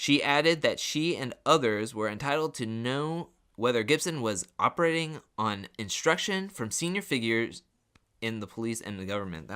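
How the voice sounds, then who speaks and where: On a very clean recording with a silent background, a man uses a robotic, put-on character voice at a medium pitch, with lively intonation and a moderate pace. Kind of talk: formal news-reading. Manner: robotic, stiff, halting.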